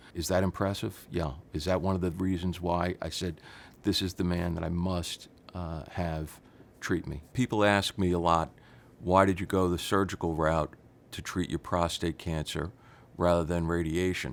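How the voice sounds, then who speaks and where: Heard on a very clean recording with a silent background, a man with a very deep, low pitch speaks at a moderate pace with fairly even intonation. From New York City. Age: 60s. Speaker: patient giving testimonial. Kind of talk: testimony.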